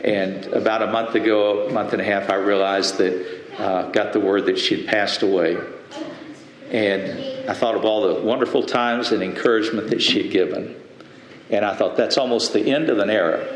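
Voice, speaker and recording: Background noise is noticeable throughout. The male speaker keeps a fairly quick pace. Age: 80s+. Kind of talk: sermon.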